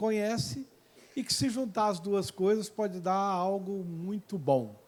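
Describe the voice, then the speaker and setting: A man talks at a fairly slow pace, his pitch high with ordinary variation. The recording is very clean and the background silent. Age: 60s. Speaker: mayor and professor giving a talk. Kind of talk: public lecture.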